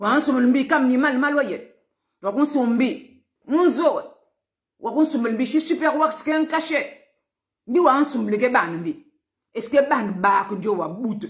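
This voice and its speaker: Using a high pitch and lively intonation, a woman speaks at a very slow pace with long, frequent pauses. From Republic of the Congo, Pointe-Noire. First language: Vili (speaking French). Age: 50s. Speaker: political activist.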